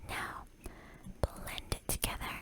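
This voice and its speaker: Background noise is noticeable. A voice whispers over it. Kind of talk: ASMR whispered relaxation video, casual talk to viewers. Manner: whispered, soft, relaxing.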